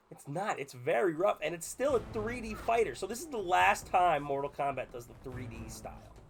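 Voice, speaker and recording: A man keeps a moderate pace as noticeable background noise carries on behind him. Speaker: video game reviewer. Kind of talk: casual gameplay review. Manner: casual, filler-heavy.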